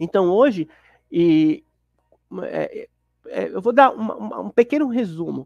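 A man talks at a fairly slow pace with long, frequent pauses and big swings in loudness, in a dry sound with no echo over a quiet background. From Guarulhos, São Paulo, Brazil; São Paulo, Brazil. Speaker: former Jehovah's Witness; Witness. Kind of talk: interview testimony. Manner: halting, many fillers. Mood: calm, reflective. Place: home room. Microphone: lapel.

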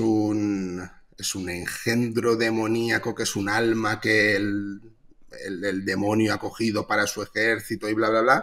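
Against a quiet background, a man with a fairly low voice speaks at a fairly slow pace and with fairly even intonation. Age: 30s. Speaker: comic artist. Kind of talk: casual chat. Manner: halting. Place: home room.

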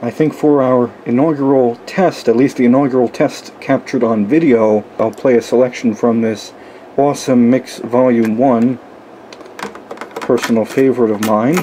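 A man's medium-pitched voice, dark and mellow in tone, at a moderate pace with fairly even intonation and faint background noise

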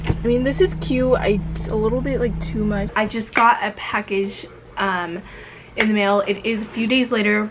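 A woman talks at a fairly slow pace, with noticeable background noise around her. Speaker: vlogger. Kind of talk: casual vlog chat.

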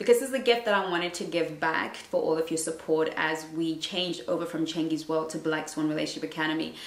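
Very fast speech from a woman, with audible room echo. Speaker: relationship coach. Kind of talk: casual vlog chat. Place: home room.

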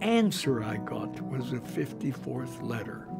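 Clear music plays in the background as a man speaks with an American accent. He talks at a very slow pace. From Pennsylvania, USA. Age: 80s+. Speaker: retired chemical engineering professor. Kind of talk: documentary interview answer. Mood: warm, reminiscing. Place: home room.

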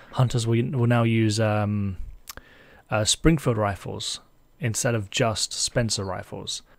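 On a very clean recording with a silent background, a man with a British accent speaks at a medium pitch. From Britain. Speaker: gaming YouTuber. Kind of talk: tutorial. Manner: casual, somewhat hesitant with filler words.

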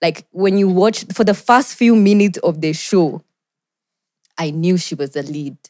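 Over a quiet background, a woman speaks in a dark, mellow tone with ordinary pitch variation. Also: medium pitch for a woman, moderate pace. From Kenya. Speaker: actor and content creator; actor, content creator. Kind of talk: casual chat. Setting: studio. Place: studio. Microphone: studio mic.

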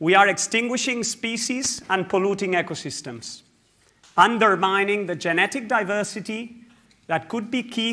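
With a raised, projected voice and a bright, sharp tone, a man speaks at a high pitch and a moderate pace, his pitch varying in an ordinary way. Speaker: scientific director. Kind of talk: conference speech. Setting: stage with audience. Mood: earnest, urgent. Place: hall. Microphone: lapel.

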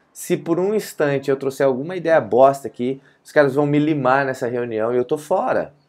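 In a quiet background, a man with a fairly high pitch speaks at a moderate pace with ordinary pitch variation. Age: 40s. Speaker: leadership coach and YouTuber; leadership coach, YouTuber. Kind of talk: motivational vlog monologue. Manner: casual, conversational. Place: office. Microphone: earbuds.

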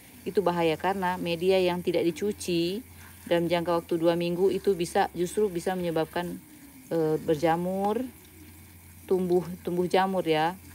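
A woman speaks at a moderate pace in a fairly low pitch, with a dark, mellow tone and monotone, flat intonation. Her loudness stays very even, and light background noise can be heard. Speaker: plant hobbyist vlogger. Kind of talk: livestream tutorial. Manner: casual, chatty. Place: garden. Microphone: phone near.

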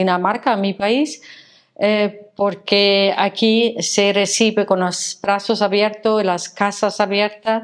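Over a quiet background, a woman speaks at a very slow pace. Her intonation is monotone and flat. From Denmark, Copenhagen. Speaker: former tour guide, foreign resident; former tour guide. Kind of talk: testimony. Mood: warm, moved, smiling. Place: office. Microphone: lapel.

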